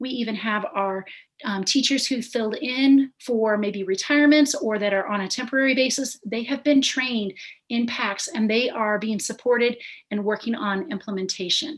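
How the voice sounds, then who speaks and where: The woman has a plain, everyday voice, pitched somewhat high, with normal melodic movement at an average speed. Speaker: instructional coach. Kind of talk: presentation to school board.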